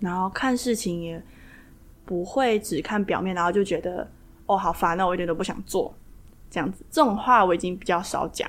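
An unremarkable speaking voice from a woman, medium in pitch, fairly quick, with ordinary pitch variation. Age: 20s. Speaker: kundalini yoga teacher. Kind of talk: interview.

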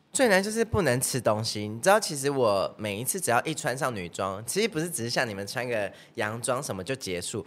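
Barely pausing, a man talks at a fairly quick pace with a medium pitch and very wide pitch swings. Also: very clean recording, silent background. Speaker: singer and dancer. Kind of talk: casual chat.

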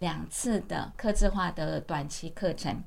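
The woman's voice sits at a fairly low pitch with fairly even intonation. Audible room echo surrounds her. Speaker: university vice president and author. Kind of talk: interview.

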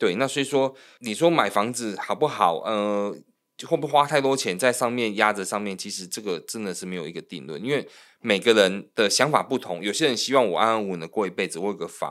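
Lively intonation carries a normal speaking voice along at a fairly quick pace. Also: man, fairly low pitch for a man. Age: 40s. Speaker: loan manager and podcast co-host. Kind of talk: casual chat.

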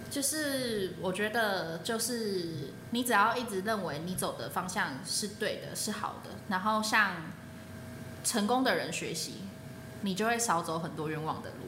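Amid audible room echo, a woman talks at a fairly slow pace with lively intonation. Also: medium pitch for a woman. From Taiwan, New Taipei. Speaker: former student, soldier. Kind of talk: casual interview chat.

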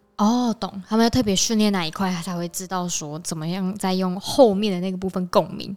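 Speaking at a fairly quick pace with hardly any pauses, a woman of medium pitch uses fairly even intonation and has a slight central Taiwanese accent. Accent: slight central Taiwan. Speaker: podcast co-host. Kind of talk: casual chat.

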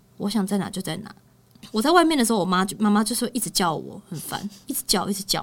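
A woman with a Taiwanese accent, medium-pitched, somewhat breathy, talking at a very fast pace with lively intonation. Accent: Taiwanese Mandarin. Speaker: podcast host and pet communicator. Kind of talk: casual chat. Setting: studio. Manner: animated.

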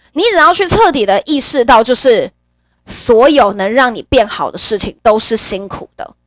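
A woman with a high pitch speaks in an animated tone at a moderate pace, with very wide pitch swings and big swings in loudness, in a dry, close sound with no echo. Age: 30s. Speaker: podcast host. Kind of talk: casual monologue. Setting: home.

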